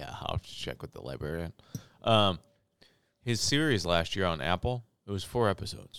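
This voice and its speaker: A man's very deep, low voice with vocal fry and a Midwestern US accent, fairly quick in pace, with very wide pitch swings and long, frequent pauses. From St. Louis, Missouri. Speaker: podcast co-host. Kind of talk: casual chat.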